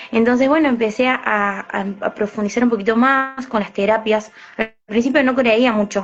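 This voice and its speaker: A woman's fairly high-pitched voice moves at a moderate pace, her intonation fairly even. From Argentina, Córdoba city. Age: 20s. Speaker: alternative therapist and psychic medium. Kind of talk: interview. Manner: hesitant, many fillers.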